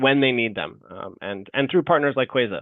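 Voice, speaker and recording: With fairly even intonation, the man's words come at a fairly quick pace. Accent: American. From United States. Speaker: fintech company representative. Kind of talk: webinar Q&A. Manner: hesitant, many fillers.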